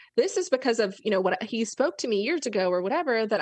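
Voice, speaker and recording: A woman with a fairly high pitch and lively intonation uses a normal speaking voice against a quiet background. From Florida. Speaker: business coach. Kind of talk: interview.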